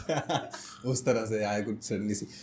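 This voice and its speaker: Noticeable background noise runs under the clip. A man talks at a medium pitch. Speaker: podcast host. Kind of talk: casual podcast hosting, Hindi-English mix. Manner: friendly, conversational.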